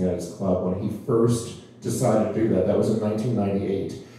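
Strong room echo over light background noise. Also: man. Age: 60s. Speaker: singer and performer; talk show guest or host. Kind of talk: casual interview chat. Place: home room.

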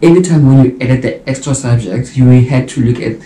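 A man speaks in a dark, mellow tone that is somewhat breathy, with ordinary pitch variation. Audible room echo surrounds his voice. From South Africa. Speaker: YouTuber and mature medical student. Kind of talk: vlog monologue. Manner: casual, conversational. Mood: reflective, earnest. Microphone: camera far.

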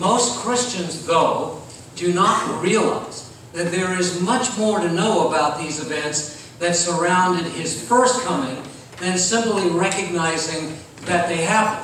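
Strong room echo and light background noise fill the recording. A man speaks with a high pitch and ordinary pitch variation. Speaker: pastor. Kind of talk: sermon. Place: church. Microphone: camera far.

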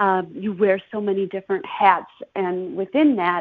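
With an Upper Midwest accent, a woman talks at a fairly slow pace and medium pitch. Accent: Upper Midwest American. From Chippewa Falls, Wisconsin. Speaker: podcast host and marketing consultant. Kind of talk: casual interview.

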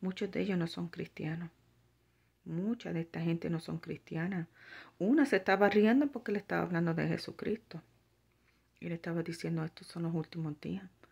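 Against a quiet background, a woman with a fairly low pitch speaks at a moderate pace with ordinary pitch variation. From Puerto Rico. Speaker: religious vlogger. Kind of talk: religious vlog monologue; casual vlog chat with spiritual exhortation. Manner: halting, many fillers. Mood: earnest, concerned. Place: home room. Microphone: phone near.

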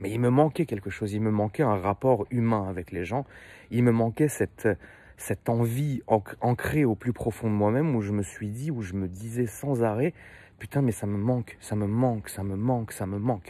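A man talks at a moderate pace in a medium-pitched, dark and mellow voice with ordinary pitch variation, the sound dry with no echo. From France, Paris. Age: 30s. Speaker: car YouTuber. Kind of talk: casual monologue to viewers. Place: street. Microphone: phone near.

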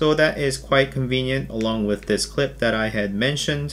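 Over faint background music, a man speaks with a fairly bright tone and ordinary pitch variation.

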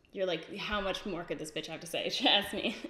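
A woman with a medium pitch talks with audible room echo around her voice. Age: 20s. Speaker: beauty youtuber. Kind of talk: casual chat. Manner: casual, filler-heavy. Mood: candid, reflective. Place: home room.

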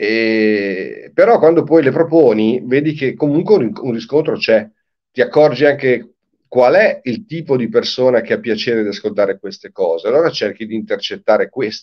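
The speaker is a man at a moderate pace. Behind him, the background is quiet. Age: 60s. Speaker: singer-songwriter; guest. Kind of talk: interview. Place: home room. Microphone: video call.

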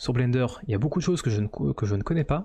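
A man speaks with lively intonation in a dark, mellow, somewhat breathy tone against a quiet background. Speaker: 3D modeling streamer. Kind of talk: live stream commentary. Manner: hesitant, many fillers. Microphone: studio mic.

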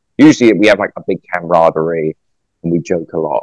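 Against a quiet background and with a dry sound with no echo, a man with a London accent talks at a moderate pace. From London, England. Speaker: actor; actor guest. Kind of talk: casual interview. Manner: halting. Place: home room. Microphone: video call.

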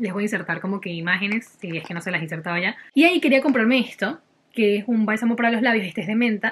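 Very fast speech with ordinary pitch variation over light background noise. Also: woman. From Venezuela. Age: 20s. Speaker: lifestyle vlogger. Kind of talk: casual haul talk to camera. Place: home room. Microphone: phone near.

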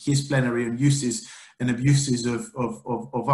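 Over a quiet background with audible room echo, a somewhat breathy man speaks with fairly even intonation. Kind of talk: formal introduction of a speaker. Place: home room.

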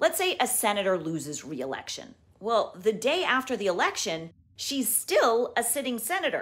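A woman at a fairly high pitch, calm in tone, at a moderate pace with very wide pitch swings. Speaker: news journalist. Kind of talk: news explainer to camera. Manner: calm, clear. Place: home room. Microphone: phone near.

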